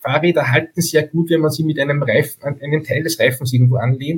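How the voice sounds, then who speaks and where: His intonation stays fairly even. The man's voice is somewhat breathy. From Upper Austria (Steyr). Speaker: bike photographer. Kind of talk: casual interview.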